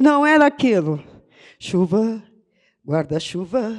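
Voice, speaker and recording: Her pitch swings very widely. The woman talks at a very slow pace. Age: 70s. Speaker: poet and writer. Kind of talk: panel discussion. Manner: animated.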